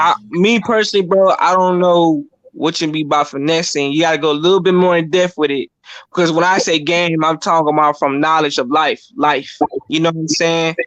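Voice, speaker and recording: Fairly even intonation marks this speech, delivered at a fairly quick pace. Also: man, high pitch for a man. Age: young. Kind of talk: casual chat.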